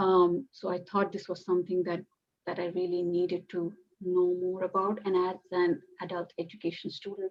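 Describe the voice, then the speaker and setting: Medium in pitch, a woman speaks with a Bengali accent at a moderate pace. Her intonation is monotone and flat. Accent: Indian English (Bengali). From India, West Bengal (Calcutta). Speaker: PhD student in adult education. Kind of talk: academic group discussion. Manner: halting, many fillers.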